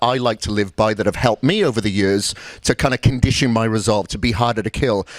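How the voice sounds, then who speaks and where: A man talks in a Welsh accent at a medium pitch and fairly quick pace. His intonation is fairly even, and the sound is dry and close with no echo. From Wales. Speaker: bodybuilding coach and seminar speaker. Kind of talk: motivational seminar talk. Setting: seminar room with live audience.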